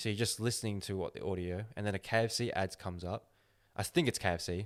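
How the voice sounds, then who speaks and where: On a very clean recording with a silent background, a man with a fairly low pitch talks very fast with fairly even intonation. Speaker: podcast host. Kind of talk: casual chat.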